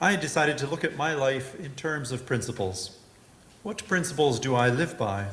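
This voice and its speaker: With audible room echo, a man talks at a moderate pace and medium pitch, his intonation lively. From Western Canada. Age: 60s. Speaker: lay speaker. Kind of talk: sermon.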